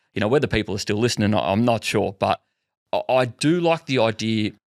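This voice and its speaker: In an Australian accent, a man talks very fast at a medium pitch with ordinary pitch variation. The sound is dry and close, with no echo. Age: young. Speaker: podcast host. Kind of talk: casual chat.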